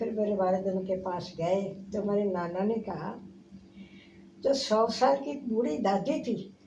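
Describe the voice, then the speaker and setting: Here a woman speaks at medium pitch with ordinary pitch variation. Her tone is dark and mellow, and somewhat breathy. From India. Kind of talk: interview answer.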